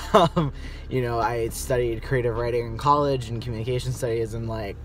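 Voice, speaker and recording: A man's voice comes through dry and echo-free over light background noise. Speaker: vlogger. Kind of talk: casual vlog chat. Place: car. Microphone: phone near.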